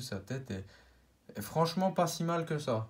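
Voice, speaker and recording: A man speaks in a somewhat breathy voice. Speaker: YouTuber, toy collector. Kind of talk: collection showcase video. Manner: halting, many fillers.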